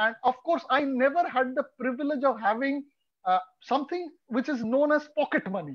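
At a moderate pace, a man speaks with an extremely high pitch and ordinary pitch variation. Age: 40s. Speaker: street photographer. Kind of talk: casual chat. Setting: video call.

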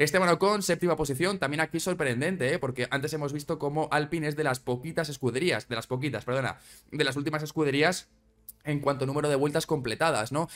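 Over faint background music, a man with a fairly high pitch speaks at a very fast pace. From Spain. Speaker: Formula 1 YouTuber. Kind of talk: casual commentary video. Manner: animated.

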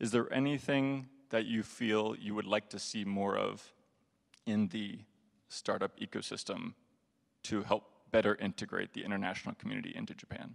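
A man speaks at a moderate pace against a quiet background, with long, frequent pauses. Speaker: audience questioner; questioner. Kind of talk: audience Q&A. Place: hall.

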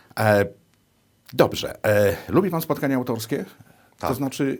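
Here is an unremarkable speaking voice with lively intonation. The pace is moderate. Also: man. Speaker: TV interviewer. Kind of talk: interview conversation. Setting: TV studio.

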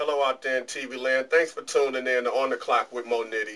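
A man with an American accent, speaking at a moderate pace. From Detroit, US. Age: middle-aged. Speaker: interview show host. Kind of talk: interview. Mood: relaxed, friendly. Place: studio. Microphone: camera far.

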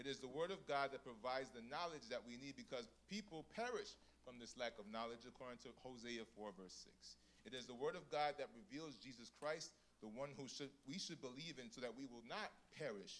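Delivered at a moderate pace, the voice has a warm, animated tone and lively intonation. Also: man. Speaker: church program emcee. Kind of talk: casual storytelling then devotional opening. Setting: church. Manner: warm, humorous, animated. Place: church. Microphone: handheld.

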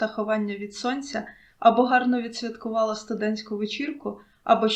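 A person reads aloud naturally, keeping the pitch mostly level.

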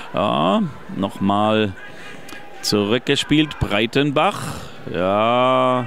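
A man speaks at a medium pitch with ordinary pitch variation. Noticeable background noise can be heard. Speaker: fan radio football commentator. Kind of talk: live commentary. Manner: animated.

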